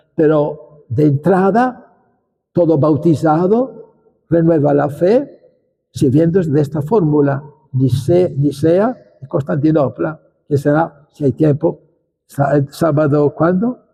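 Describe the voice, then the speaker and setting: At a very slow pace, a man speaks in a fairly high pitch with a dark, mellow, somewhat breathy tone and very even loudness. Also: ordinary pitch variation. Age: 80s+. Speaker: bishop. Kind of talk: lecture. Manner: halting.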